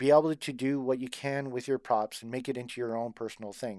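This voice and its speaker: A man speaks in a plain, everyday voice with fairly even intonation, recorded very cleanly against a silent background. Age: 40s. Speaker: cosplay fan group co-founder. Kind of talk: casual chat.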